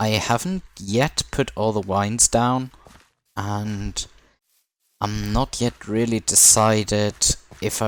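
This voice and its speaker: Speaking with a non-native accent at a very slow pace, a man uses a fairly low pitch and takes long, frequent pauses in a very clean recording with a silent background. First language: not English. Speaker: gaming video creator. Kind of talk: gameplay commentary. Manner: casual, relaxed.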